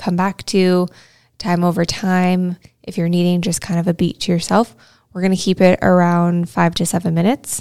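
A woman speaks with a dark, mellow tone and monotone, flat intonation. The recording is very clean and dry, close-miked with no echo and a silent background. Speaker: podcast host and meditation guide. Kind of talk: guided meditation, gentle spoken breathing and body-scan instructions. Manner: casual and conversational, with fillers like um and kind of.

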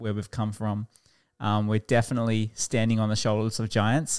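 A man with an Australian accent and medium pitch on a very clean recording with a silent background. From Queensland, Australia (Toowoomba, Warwick). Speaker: pastor. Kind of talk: casual chat.

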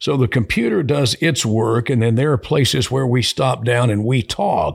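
A somewhat breathy man's voice with an American accent. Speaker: radio host and program director. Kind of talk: casual interview chat. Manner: polished, composed, measured.

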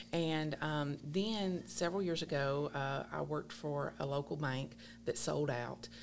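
At a fairly slow pace, a woman with a very deep, low voice and a Kentucky accent speaks with ordinary pitch variation. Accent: Southern US (Kentucky). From South Central Kentucky. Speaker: newspaper general manager. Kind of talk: casual interview.

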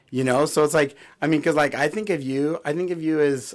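On a very clean recording with a silent background, a man with an American accent speaks at a fairly high pitch with ordinary pitch variation. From California. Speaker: podcast co-host. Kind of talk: casual chat.

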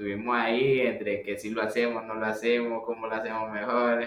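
A man with a Nicaraguan accent speaks at medium pitch in a monotone, flat way, with audible room echo and noticeable background noise. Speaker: pizzeria co-owner. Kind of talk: casual interview conversation.

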